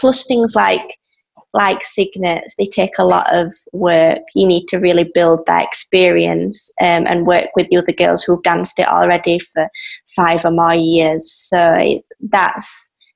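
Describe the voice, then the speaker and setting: Speaking with an English accent, a woman talks at a fairly slow pace. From England. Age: 20s. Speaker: ballet dancer. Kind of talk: interview. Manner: halting.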